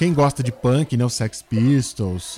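This man's voice sits at a medium pitch with a dark, mellow tone. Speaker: podcast host and journalist. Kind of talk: casual chat.

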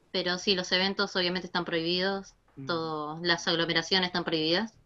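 A woman speaks at a medium pitch with a bright, sharp tone. Her pace is moderate. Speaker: gaming community admin. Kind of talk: casual chat.

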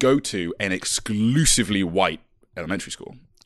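The man's voice sits fairly low, with lively intonation. The background is quiet. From England, Stroud, Gloucestershire. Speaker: podcast co-host. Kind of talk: casual chat.

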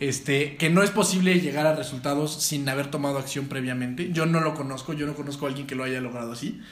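Over noticeable background noise and audible room echo, a man talks at a very fast pace with hardly any pauses, a fairly high pitch and ordinary pitch variation. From Mexico. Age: 20s. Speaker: entrepreneur and former pro footballer. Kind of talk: casual interview chat.

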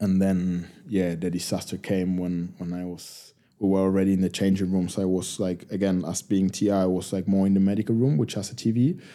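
Over a silent background in a very clean recording, a man talks at a fairly quick pace in a very deep, low voice with a dark, mellow tone and monotone, flat intonation. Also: hardly any pauses. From Argentina, Buenos Aires. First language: Spanish. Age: 30s. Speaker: professional rugby player. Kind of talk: casual interview.

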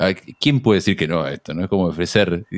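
A man with an Argentine accent and very wide pitch swings, on a very clean recording with a silent background. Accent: Rioplatense Argentine Spanish. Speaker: radio host. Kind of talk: casual chat.

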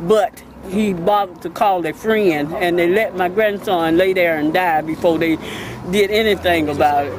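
The speech has fairly even intonation, set against noticeable background noise. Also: woman, fairly low pitch for a woman, moderate pace. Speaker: grieving grandmother. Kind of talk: interview statement.

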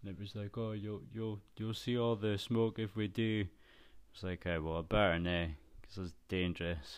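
A Scottish accent at a moderate pace, with ordinary pitch variation, in a very clean recording over a silent background. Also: man. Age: 30s. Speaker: podcast host. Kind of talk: casual solo monologue.

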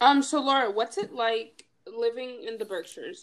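A woman speaks, her pitch swinging very widely. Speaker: student club officer and podcast host. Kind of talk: casual chat.

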